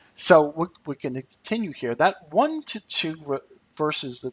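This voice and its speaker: A man speaks in a normal speaking voice, pitched fairly high, at a moderate pace. His intonation is lively. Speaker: trading educator, company CEO. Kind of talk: webinar lecture.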